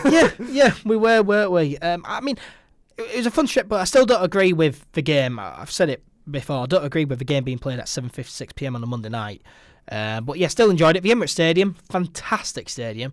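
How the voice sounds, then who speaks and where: A man with a Yorkshire accent and a fairly high pitch speaks at a very fast pace, using very wide pitch swings and big swings in loudness. The recording is very clean with a silent background. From Yorkshire, Leeds. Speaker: football podcast host. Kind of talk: casual chat. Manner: hesitant, many fillers.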